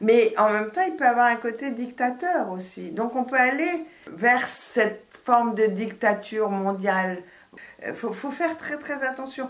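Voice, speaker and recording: Over noticeable background noise, a woman speaks at a fairly slow pace with a high pitch and lively intonation. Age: 70s. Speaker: astrologer and author. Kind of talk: radio interview. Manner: hesitant, many false starts.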